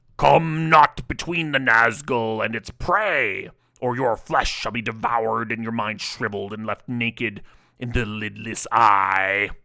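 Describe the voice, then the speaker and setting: A man's growling, booming put-on character voice, medium in pitch and at a fairly slow pace. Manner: terrible, menacing.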